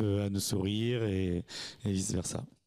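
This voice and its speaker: Over a quiet background, a man talks in an ordinary speaking voice, fairly low in pitch with fairly even intonation. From Normandy, France (Sainte-Marie-du-Mont). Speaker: restaurant and hotel owner. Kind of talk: interview. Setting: at a campsite. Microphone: handheld.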